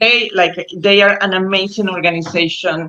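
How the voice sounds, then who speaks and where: Intonation stays fairly even as a woman speaks with a Spanish accent. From Costa Rica. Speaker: animal rescuer. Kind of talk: interview. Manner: halting.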